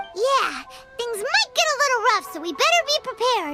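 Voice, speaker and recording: An extremely high, squeaky put-on character voice moves at a moderate pace with clear music in the background. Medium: game stream.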